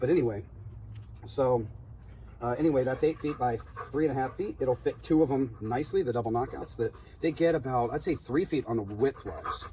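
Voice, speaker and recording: A man speaks at a fairly quick pace with medium pitch and ordinary pitch variation. He leaves long, frequent pauses. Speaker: home gardening video maker. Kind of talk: casual tutorial. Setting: outdoors. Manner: soft-spoken.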